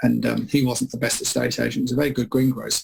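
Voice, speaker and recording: Very fast speech comes from a man with an English accent. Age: 50s. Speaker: property expert. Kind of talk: radio interview. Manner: halting.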